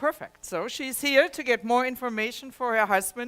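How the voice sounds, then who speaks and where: A woman speaks at a moderate pace with a fairly high pitch and lively intonation, music playing in the background. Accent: German. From Germany. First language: German. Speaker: health technology presenter. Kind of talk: presentation to a live audience. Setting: presentation room with audience.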